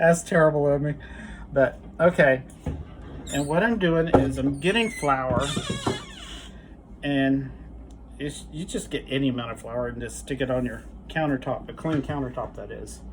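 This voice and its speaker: A man at a moderate pace, with big swings in loudness, long, frequent pauses and noticeable background noise. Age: 60s. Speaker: home cook YouTuber. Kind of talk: cooking tutorial. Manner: casual, halting with fillers.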